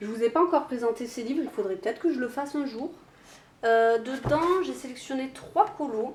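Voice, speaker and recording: High pitch from a woman, with typical rise and fall. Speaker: YouTuber. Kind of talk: casual vlog talk. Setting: home, alone, camera on tripod. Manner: hesitant, many fillers.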